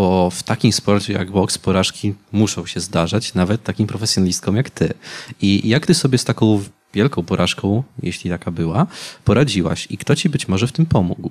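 A man talks at a moderate pace with a fairly low pitch and ordinary pitch variation, in an ordinary speaking voice. The background is quiet. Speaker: youth council moderator. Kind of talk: public talk interview. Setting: stage with audience. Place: stage. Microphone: handheld.

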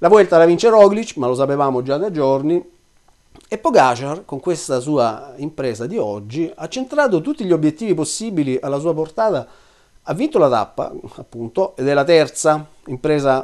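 Man with a fairly high pitch and lively intonation, moderate pace, quiet background. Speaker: cycling commentator. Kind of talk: video commentary monologue. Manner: hesitant fillers. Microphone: webcam.

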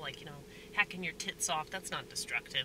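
A woman with an American accent talking very fast, dry sound with no echo, noticeable background noise. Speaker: stand-up comedian and restaurant worker. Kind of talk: casual vlog monologue. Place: car. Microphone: phone near.

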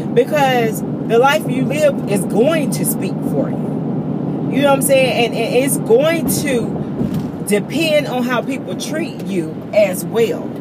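A woman talks very slowly, the sound dry with no echo, while loud background noise goes on. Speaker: vlogger. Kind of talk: casual vlog chat. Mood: animated storytelling. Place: car. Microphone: phone near.

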